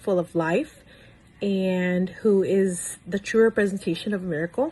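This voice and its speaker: A woman speaks at a very slow pace in a medium pitch. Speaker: mother of a child who survived a newborn heart condition. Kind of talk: personal testimony to camera.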